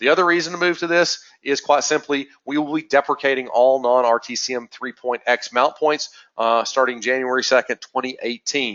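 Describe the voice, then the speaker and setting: With ordinary rise and fall in his pitch, a man's voice sits fairly high. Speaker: webinar presenter for a GNSS correction network. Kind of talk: technical webinar presentation. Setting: recorded webinar. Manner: fast; frequent filler words (uh).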